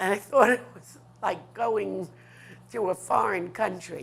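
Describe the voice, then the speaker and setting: A woman with a New York accent, fairly low in pitch, at a fairly slow pace. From New York City, Manhattan west side. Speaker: artist. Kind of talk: interview, life story.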